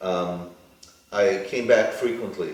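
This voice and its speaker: Fairly slow speech in a New York accent, with audible room echo. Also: man. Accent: American (New York). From New York, US. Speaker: plastic surgeon. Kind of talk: interview. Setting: studio.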